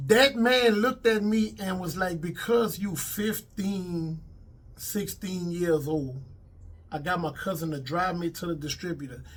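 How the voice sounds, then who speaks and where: A man in a Louisiana accent, high in pitch, with lively intonation and a fairly slow pace. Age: 50s. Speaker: comedian and actor, former rapper. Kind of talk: interview. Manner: casual.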